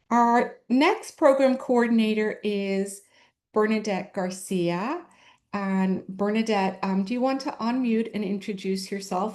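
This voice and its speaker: Over a quiet background, a woman talks at a fairly slow pace with a slight Irish accent. Her medium pitch carries ordinary pitch variation. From Ireland. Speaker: special education administrator. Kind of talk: presentation to parents.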